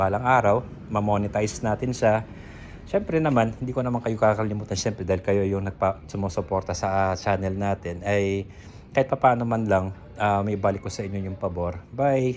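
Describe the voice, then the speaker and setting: A man's fairly low voice at a fairly quick pace, with fairly even intonation. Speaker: motorcycle restoration vlogger. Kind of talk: casual vlog talk. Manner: monotone; halting.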